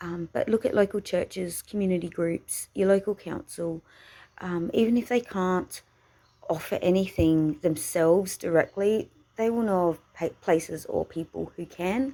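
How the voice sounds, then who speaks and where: A woman with an Australian accent, medium in pitch with a dark, mellow tone, ordinary pitch variation and a moderate pace. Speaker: vlogger. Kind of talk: casual vlog talk. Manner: halting, many fillers.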